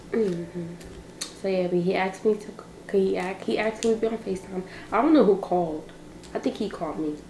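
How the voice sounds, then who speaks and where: A woman speaks very fast in a medium pitch with ordinary pitch variation, yet leaves long, frequent pauses. Noticeable background noise is present. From Barbados. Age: young. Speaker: vlogger. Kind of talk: casual chat.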